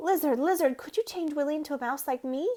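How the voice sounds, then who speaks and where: A woman's put-on character voice, high-pitched and very fast. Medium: read story.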